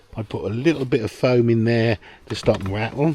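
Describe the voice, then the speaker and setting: Noticeable background noise behind a man's medium-pitched voice with ordinary pitch variation. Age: 60s. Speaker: boating video creator. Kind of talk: tutorial. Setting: outdoors. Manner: casual, hesitant with fillers.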